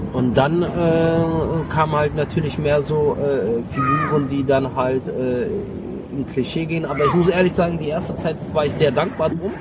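A man with a fairly high pitch and ordinary pitch variation at a fairly slow pace, amid audible room echo and noticeable background noise. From Germany, Mönchengladbach area. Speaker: comedian and actor. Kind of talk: casual interview. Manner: hesitant with many fillers.

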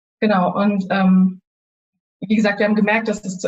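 A woman talks at a fairly quick pace. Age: 20s. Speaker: university student sharing grief experience. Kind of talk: interview, personal testimony. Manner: halting, many fillers.

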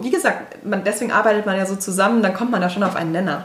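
With audible room echo and noticeable background noise, a woman talks at a very fast pace with ordinary pitch variation. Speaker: instagram influencer and blogger. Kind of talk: interview.

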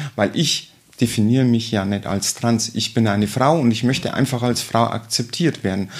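With a normal speaking voice, a man talks at a moderate pace, his medium pitch showing ordinary pitch variation. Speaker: state politician. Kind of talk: interview. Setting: her office.

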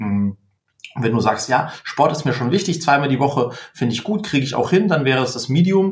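A man talks at a fairly quick pace. His voice is somewhat breathy and fairly high-pitched. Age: 30s. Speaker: company founder and diet coach. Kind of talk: interview. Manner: halting, many fillers.

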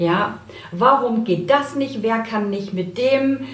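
Very slow speech from a woman comes with noticeable background noise and audible echo in the room. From Saxony, Germany. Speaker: story coach. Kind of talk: casual interview. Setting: in-person studio.

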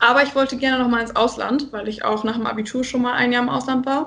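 This woman has a normal speaking voice, fairly high in pitch, with fairly even intonation. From northern Germany, Friesland. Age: 20s. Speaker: student and charity volunteer. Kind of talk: casual interview.

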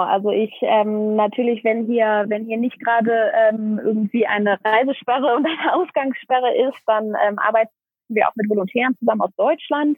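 At a moderate pace with hardly any pauses, a woman talks in a fairly high pitch with ordinary pitch variation. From Germany, Aachen. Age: 20s. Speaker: NGO founder, social worker. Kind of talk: interview. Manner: hesitant, many filler sounds.

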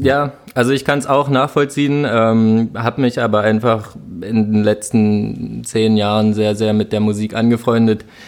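A man at medium pitch and a fairly slow pace, with fairly even intonation, very even loudness, and music in the background. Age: 20s. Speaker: event project manager. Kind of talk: casual chat.

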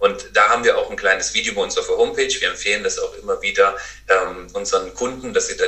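The man talks very fast. There is noticeable noise behind him. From North Rhine-Westphalia, Germany. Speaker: adhesives company co-founder. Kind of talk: interview.

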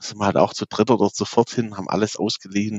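A man is speaking here. His pitch sits fairly low. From Swabia, Baden-Württemberg (near Aalen). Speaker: music festival organizer. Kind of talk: interview.

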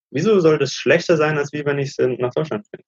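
Somewhat breathy and fairly high in pitch, a man talks at a fairly quick pace in a dry, close sound with no echo. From Germany. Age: 30s. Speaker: digital nomad, former banker. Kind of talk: interview.

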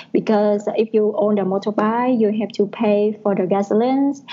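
A woman speaks with a Vietnamese accent. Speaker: advertising planner. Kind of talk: casual chat. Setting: call. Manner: halting.

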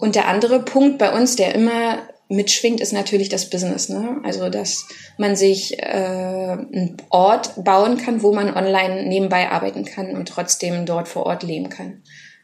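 A woman speaks at a fairly slow pace in a medium pitch, with noticeable background noise behind her. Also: ordinary pitch variation. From Germany. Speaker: travelling parent and co-living organiser. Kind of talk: interview. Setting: outdoors by a pool and the sea. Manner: hesitant, many fillers.

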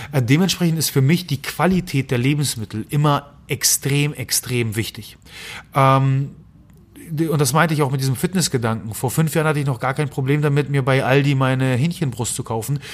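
A man's fairly high, somewhat breathy voice at a moderate pace, with ordinary pitch variation and a very clean recording with a silent background. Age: 30s. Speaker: nutrition scientist and podcast host. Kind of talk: interview conversation. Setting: sitting at a table in person. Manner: frequent filler hesitations.

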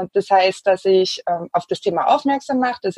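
Recorded with a dry, close sound and no echo, a woman of medium pitch speaks at a moderate pace in a plain, everyday voice. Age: 30s. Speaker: environmental activist. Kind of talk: interview.

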